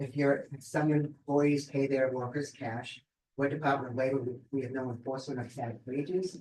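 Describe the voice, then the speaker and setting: A man talks at a fairly quick pace in a somewhat breathy voice. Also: fairly even intonation. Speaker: labor department investigator. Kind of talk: presentation at a seminar. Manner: fast; many fillers, um and repeats.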